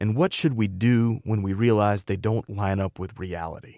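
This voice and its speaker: Recorded very cleanly with a silent background and a dry, close sound with no echo, a man with a plain, everyday voice and fairly low pitch speaks at a moderate pace. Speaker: radio host. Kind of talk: interview introduction.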